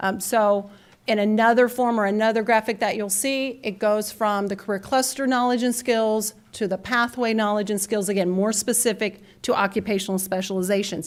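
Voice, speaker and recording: A woman speaks at a fairly high pitch with fairly even intonation. The recording is very clean with a silent background. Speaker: conference speaker on career and technical education. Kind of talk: conference presentation. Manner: fast.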